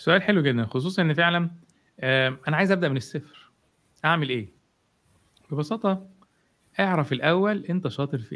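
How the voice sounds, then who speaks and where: A man with a fairly high pitch talks at a moderate pace. His intonation is lively, with long, frequent pauses. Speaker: marketing expert. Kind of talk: live interview talk. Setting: live stream online.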